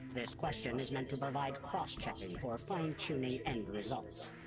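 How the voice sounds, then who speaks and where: A man's cartoonish character voice over loud background music. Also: medium pitch for a man, moderate pace. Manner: flat, clinical, literal.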